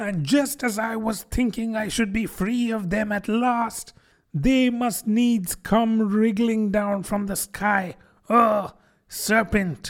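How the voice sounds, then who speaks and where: A shrill, put-on character voice at fairly high pitch, on a very clean recording with a silent background. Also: fairly slow pace. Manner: shrieking, indignant.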